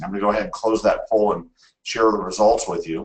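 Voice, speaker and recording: This man talks at a very fast pace. His words come quickly. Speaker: webinar presenter. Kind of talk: webinar presentation. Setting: online webinar. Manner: animated.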